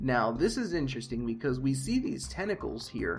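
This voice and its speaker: A man with music in the background. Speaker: game lore commentator. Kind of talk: casual commentary to viewers. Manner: hesitant, says uh often.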